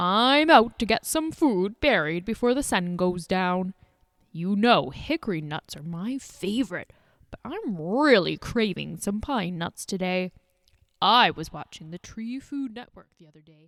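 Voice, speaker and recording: In a put-on character voice with a warm tone, the speaker goes at a moderate pace in a very clean recording with a silent background. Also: woman, medium pitch for a woman. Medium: read story. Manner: warm, kindly, patient.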